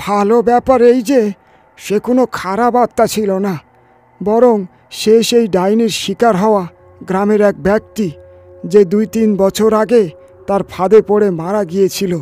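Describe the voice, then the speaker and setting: Using a put-on character voice, a man speaks at a moderate pace with high pitch. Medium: read story. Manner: grave, explanatory.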